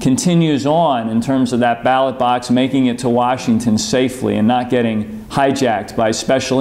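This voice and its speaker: Fairly even intonation from a man, at a moderate pace. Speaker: politician sending a video message. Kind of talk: address to supporters. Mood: earnest, encouraging. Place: office.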